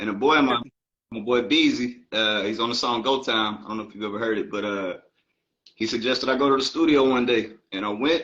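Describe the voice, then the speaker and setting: A man speaks at a fairly quick pace in a medium pitch. His pitch varies in an ordinary way. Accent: American. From Baltimore, Maryland, then Atlanta from age 14. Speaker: rapper. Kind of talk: interview.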